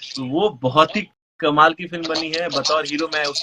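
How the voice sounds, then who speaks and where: With a Bihar accent, a man talks at a moderate pace with a fairly high pitch. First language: Maithili (speaking Hindi). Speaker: film actor. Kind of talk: interview. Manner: halting.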